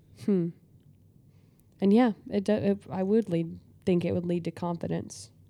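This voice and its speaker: A woman's fairly low voice has a dark, mellow tone and ordinary pitch variation. She keeps a moderate pace with long, frequent pauses. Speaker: podcast co-host. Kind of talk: casual chat.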